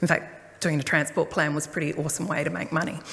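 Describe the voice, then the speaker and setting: Amid noticeable background noise, a woman talks at a fairly quick pace in an Australian accent. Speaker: transport planner. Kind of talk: public talk. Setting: community hall forum with audience.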